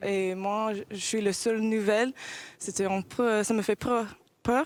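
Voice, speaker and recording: Someone with an American accent speaks at a moderate pace with fairly even intonation, the sound dry and close with no echo. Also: woman. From United States. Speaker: professional basketball player. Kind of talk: interview. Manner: halting, many hesitations.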